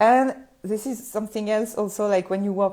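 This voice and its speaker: A woman speaks with a fairly high pitch and a dark, mellow tone in a French accent. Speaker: photographer and business coach podcaster. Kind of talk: solo podcast talk. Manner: halting, frequent fillers.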